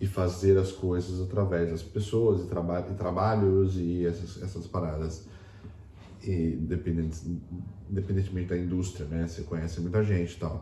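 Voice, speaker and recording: Over audible room echo, a man with a very deep, low pitch speaks at a moderate pace in a dark, mellow, somewhat breathy tone, monotone and flat in intonation yet with big swings in loudness. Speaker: podcast co-host. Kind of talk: casual chat.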